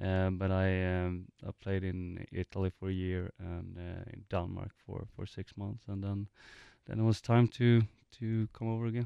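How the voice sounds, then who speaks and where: In a Swedish accent, a man speaks at a moderate pace with a very deep, low pitch and monotone, flat intonation. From Sweden, Gothenburg. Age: 30s. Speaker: professional soccer player. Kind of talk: interview. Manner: halting, many fillers and repetitions.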